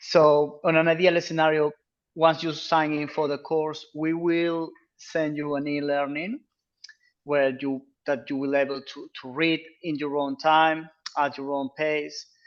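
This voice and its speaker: A man with a Peruvian accent, fairly slow and fairly even in intonation, over a quiet background. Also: fairly high pitch for a man. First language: Spanish. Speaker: freediving instructor. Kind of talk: informational Q&A presentation.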